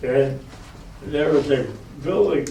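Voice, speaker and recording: A man with a fairly high-pitched voice talks at a fairly slow pace, with audible room echo and noticeable background noise. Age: 90s. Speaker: war veteran. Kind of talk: talk to school students.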